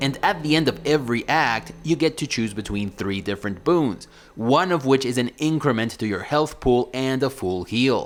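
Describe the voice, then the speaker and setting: A man with a non-native accent speaks at medium pitch. His pace is moderate, with hardly any pauses. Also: lively intonation. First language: not English. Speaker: video game reviewer. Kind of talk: game review commentary.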